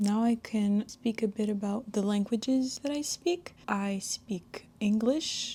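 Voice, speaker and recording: A woman speaks very slowly with hardly any pauses, her fairly high voice somewhat breathy with a dark, mellow tone. Her pitch varies in an ordinary way. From Quebec, Canada. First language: French. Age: 20s. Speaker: beauty vlogger. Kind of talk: makeup tutorial with casual chat. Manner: casual, chatty.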